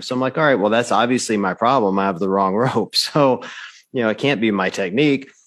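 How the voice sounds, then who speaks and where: A man speaks at a fairly quick pace in an ordinary speaking voice. His pitch is medium with ordinary variation, over a quiet background. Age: 50s. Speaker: podcast host. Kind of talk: casual chat.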